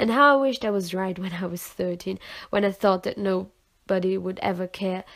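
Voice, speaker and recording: The background is silent in this very clean recording. A woman talks at a medium pitch. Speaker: poet. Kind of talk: slam poetry reading.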